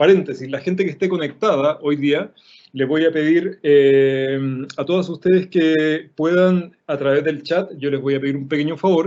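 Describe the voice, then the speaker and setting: This man has a fairly high pitch and fairly even intonation. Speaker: illustrator and design teacher. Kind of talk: online workshop lecture. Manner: fast.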